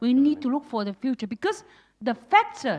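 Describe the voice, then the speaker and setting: In a dry, close sound with no echo, a woman with a non-native accent speaks at a moderate pace with very wide pitch swings. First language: not English. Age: old. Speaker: audience member, former government official. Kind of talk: audience comment at panel. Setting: event venue with audience. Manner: halting.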